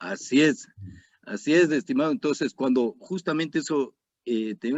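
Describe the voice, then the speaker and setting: At a moderate pace, a man speaks with a fairly high pitch. His voice moves in very wide pitch swings. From Ecuador. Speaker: retired army colonel, security analyst. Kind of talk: interview.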